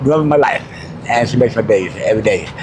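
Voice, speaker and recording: Talking at a very fast pace in an American accent, a man is heard over noticeable background noise. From New Mexico, US. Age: 60s. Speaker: homeless mobile mechanic. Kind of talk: street interview.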